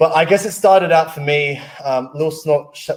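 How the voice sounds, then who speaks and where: Here a man speaks with an Australian accent. His pace is moderate. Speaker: wellness device presenter. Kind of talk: personal story in a webinar.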